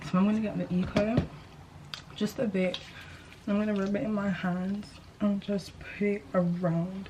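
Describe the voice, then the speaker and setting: A woman's voice over noticeable background noise. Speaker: hair vlogger. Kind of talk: tutorial. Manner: casual, chatty.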